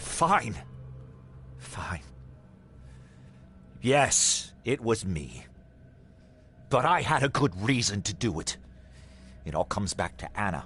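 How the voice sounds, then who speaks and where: A man puts on a character voice, fairly low and with very wide pitch swings. He talks at a fairly slow pace with long, frequent pauses. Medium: audio drama. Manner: stammering when frightened.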